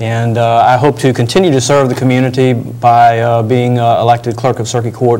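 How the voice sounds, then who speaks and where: A man speaks at medium pitch with a Virginia accent, at a fairly quick pace. His intonation is monotone and flat, and audible room echo surrounds him. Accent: Virginia Southern American. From Virginia (Northern Neck, Warsaw). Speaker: attorney and political candidate. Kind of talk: interview.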